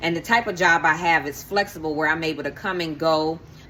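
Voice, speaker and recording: Amid noticeable background noise, a woman speaks at a fairly quick pace in a very deep, low pitch. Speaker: lifestyle vlogger and life coach. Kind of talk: casual vlog talk to camera. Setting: filming at home in the kitchen. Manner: fast; animated.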